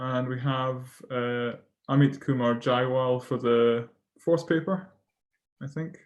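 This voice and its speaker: In a Scottish accent, the speaker moves at a very slow pace with long, frequent pauses. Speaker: session chair at academic conference. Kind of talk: moderating an online conference session. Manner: hesitant, many fillers.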